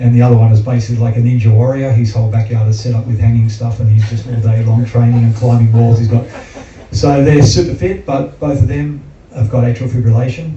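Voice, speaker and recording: A man with an Australian accent speaks at a very fast pace, his pitch medium with ordinary variation. Noticeable background noise and audible room echo sit around his voice. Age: 60s. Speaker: heart patient and athlete. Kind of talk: testimony.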